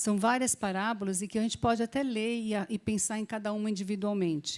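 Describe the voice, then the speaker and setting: A woman speaks in a normal speaking voice, fairly high-pitched, at a fairly quick pace with fairly even intonation. The recording is very clean, with a silent background. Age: 60s. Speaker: Bible teacher. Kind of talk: Bible class teaching.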